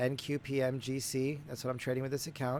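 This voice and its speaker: A man with a fairly high pitch. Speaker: day trader. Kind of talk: trading recap. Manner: casual, hesitant.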